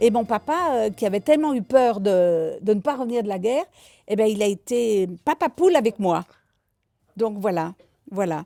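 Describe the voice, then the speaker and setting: A woman's fairly high, dark and mellow voice with lively intonation and long, frequent pauses, dry and close with no echo, on a very clean recording with a silent background. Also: moderate pace. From France, Isère (Voiron / Bilieu area). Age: 80s+. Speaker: elderly witness sharing childhood memories. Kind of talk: storytelling to schoolchildren.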